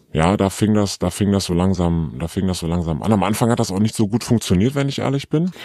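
A man speaks at a fairly quick pace in a very deep, low voice with a dark, mellow tone and lively intonation. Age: 30s. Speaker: anonymous interview guest. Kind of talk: candid personal interview. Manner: halting, many fillers.

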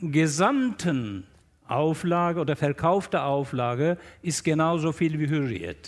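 The voice shows ordinary pitch variation. It is a very clean recording with a silent background. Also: man. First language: Turkish (speaking German). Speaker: newspaper journalist and columnist. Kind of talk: panel discussion. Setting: stage with audience in a festival tent.

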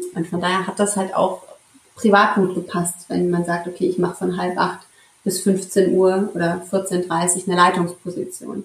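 Keeping a moderate pace, a woman talks at a medium pitch with flat, monotone intonation. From Central Hesse, Germany (Marburg). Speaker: intensive care nurse. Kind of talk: interview conversation. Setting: in person with co-host, hybrid recording.

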